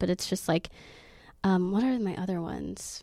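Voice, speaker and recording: A woman with an American accent talks at a moderate pace and a fairly low pitch. It is a plain, everyday voice in a very clean recording with a silent background. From Oklahoma. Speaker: exotic dancer. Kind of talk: casual chat.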